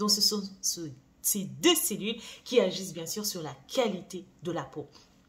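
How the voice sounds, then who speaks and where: Her somewhat breathy voice shows ordinary pitch variation, while the woman's loudness swings widely. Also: medium pitch for a woman, fairly slow pace. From France. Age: 40s. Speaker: beauty brand founder and YouTuber. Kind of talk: vlog monologue. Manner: casual, hesitant with fillers.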